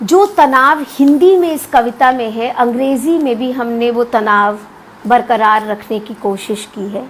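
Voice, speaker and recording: Speaking in a Punjabi accent, a woman uses a high voice over noticeable background noise. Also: big swings in loudness. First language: Punjabi (speaking Hindi). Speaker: academic and literary translator. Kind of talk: lecture. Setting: live video stream. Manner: hesitant fillers.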